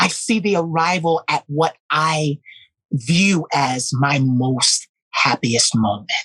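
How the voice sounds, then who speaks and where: This woman's pitch is very deep and low. She speaks at a very slow pace with very even loudness. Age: 30s. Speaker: musical performer. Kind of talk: interview conversation.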